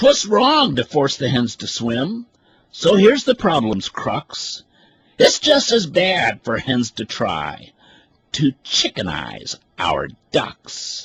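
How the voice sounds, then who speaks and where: A man puts on a character voice with a high pitch. He talks at a very slow pace. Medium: read story. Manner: earnest, grave.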